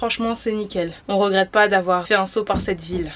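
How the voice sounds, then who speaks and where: Ordinary pitch variation from a woman, noticeable background noise underneath. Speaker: van-life vlogger. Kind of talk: casual vlog narration.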